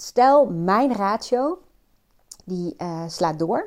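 Her intonation is lively. The woman speaks at a medium pitch. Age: 40s. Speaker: personal coach. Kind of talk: solo monologue. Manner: hesitant, many fillers.

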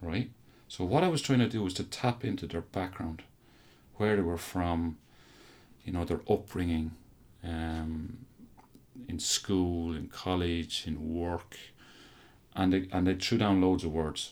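In a very clean recording with a silent background, a man with an Irish Midlands accent speaks at a very deep, low pitch with ordinary pitch variation, a fairly slow pace and long, frequent pauses. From Ireland, County Offaly. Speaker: university lecturer in coaching science. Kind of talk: interview.

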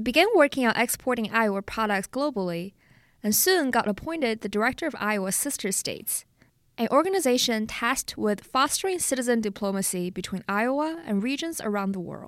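In a Chinese accent, a woman with a fairly high pitch talks at a fairly quick pace with lively intonation on a very clean recording with a silent background. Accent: Mandarin Chinese accent in English. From China, Jinan. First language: Mandarin Chinese. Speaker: podcast host and reporter. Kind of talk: scripted narration.

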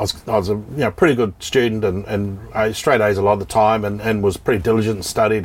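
A man with a New Zealand accent at a fairly low pitch and very fast pace, over noticeable background noise. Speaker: real estate company executive. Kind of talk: casual interview chat.

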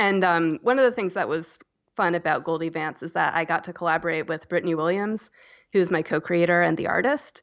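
A woman with an American accent speaks at a fairly quick pace in a plain, everyday voice. Her pitch is fairly low with ordinary variation, against a quiet background. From US South, North Carolina (Asheville). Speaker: author and illustrator. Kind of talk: interview.

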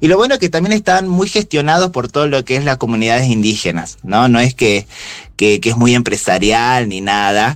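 Talking at a moderate pace, a man lets his voice move in very wide pitch swings. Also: medium pitch for a man. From Jujuy, northwest Argentina. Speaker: local guest recommending travel in Jujuy. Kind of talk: casual chat.

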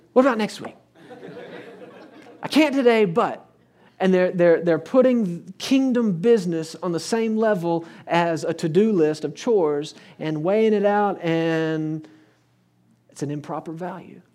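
With an American accent and a dark, mellow tone, a man speaks at a high pitch and a fairly slow pace, using ordinary pitch variation and long, frequent pauses, with audible room echo. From Texas. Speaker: preacher. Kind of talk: sermon. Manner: animated.

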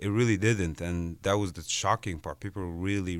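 A man with an Arabic accent is heard in a very clean recording over a silent background. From Egypt. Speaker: visual artist. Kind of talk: interview. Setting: studio.

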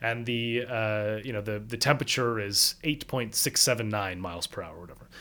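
A man speaks in a plain, everyday voice at a medium pitch and a fairly quick pace, with ordinary pitch variation, big swings in loudness and hardly any pauses, on a very clean recording with a silent background. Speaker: political scientist and author. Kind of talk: interview explaining book.

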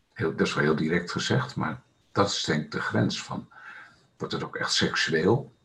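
A man's very deep, low voice with vocal fry and a bright, sharp tone, very wide pitch swings and a moderate pace. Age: 60s. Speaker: laughter meditation and Sufi dance facilitator. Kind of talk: casual interview.

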